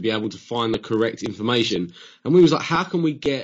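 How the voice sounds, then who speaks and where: The man talks at a very fast pace. Behind him the background is quiet. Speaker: podcast guest. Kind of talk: interview answer. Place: home room. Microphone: studio mic.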